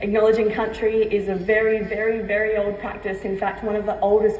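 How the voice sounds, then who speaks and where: The room has audible echo and noticeable background noise. A woman with a medium pitch speaks at a moderate pace. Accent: Australian. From Australia, Torres Strait Islander heritage, raised Adelaide and Queensland. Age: 20s. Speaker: keynote speaker. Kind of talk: keynote speech. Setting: stage at a luncheon with audience.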